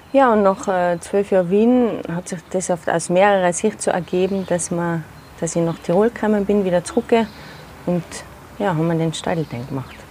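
A woman's pitch varies in an ordinary way, with noticeable background noise behind her. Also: medium pitch for a woman, moderate pace. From Austria, Tyrol (Zillertal). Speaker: theatre maker and festival founder. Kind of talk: interview. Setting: outdoors in a garden. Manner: hesitant, many fillers.

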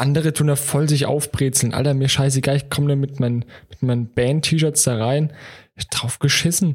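At a fairly quick pace, a man with a fairly high, somewhat breathy voice speaks with fairly even intonation. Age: 20s. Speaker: podcast co-host. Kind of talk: casual chat.

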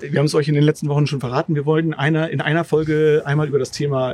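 Noticeable background noise runs under the clip. A man speaks with a fairly high pitch. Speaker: podcast host. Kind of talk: casual chat. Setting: outdoors in a garden.

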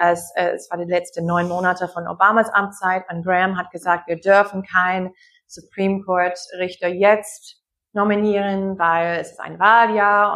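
A woman with an American accent speaks at a medium pitch and moderate pace in a bright, sharp tone. Her intonation is monotone and flat, and the background is quiet. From US Midwest, Wisconsin. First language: English (speaking German). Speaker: anthropologist. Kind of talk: online discussion, guest talk. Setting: video call. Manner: halting, many fillers.

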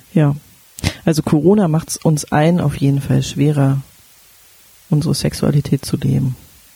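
A woman with a very deep, low pitch speaks at a moderate pace with fairly even intonation. Long, frequent pauses break up her speech over noticeable background noise. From Berlin. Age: 30s. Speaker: sex educator and podcast co-host. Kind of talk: casual chat.

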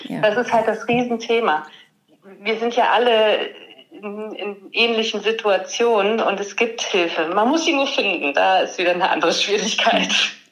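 A woman's fairly high voice with audible room echo. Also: ordinary pitch variation, moderate pace. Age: 30s. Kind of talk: interview.

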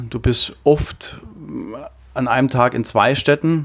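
Very slow pace and fairly even intonation from a man. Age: 40s. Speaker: trade show fitter. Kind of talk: interview.

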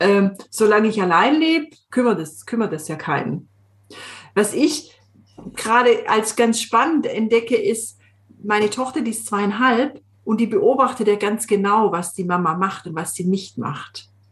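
Against a quiet background, a woman speaks at a fairly slow pace with lively intonation. Her voice is somewhat breathy and fairly high in pitch. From Swabian Jura, Swabia (southern Germany). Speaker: coach. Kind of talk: casual chat.

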